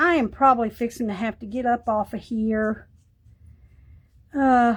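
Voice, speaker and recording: On a very clean recording with a silent background, a woman with a Texan accent speaks at a moderate pace, with fairly high pitch and fairly even intonation. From East Texas. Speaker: art crafts livestreamer. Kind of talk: casual livestream chat while crafting.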